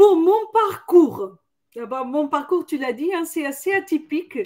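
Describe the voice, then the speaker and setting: Very slowly, a woman speaks in a Portuguese accent. Her voice is high, with ordinary pitch variation. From Portugal, Lisbon. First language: Portuguese (speaking French). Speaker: corporate training director. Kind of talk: webinar interview. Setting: online webinar.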